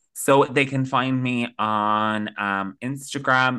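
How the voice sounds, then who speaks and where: Against a quiet background, a man with an Irish accent speaks in a bright, sharp tone. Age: 20s. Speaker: content creator. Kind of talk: casual chat.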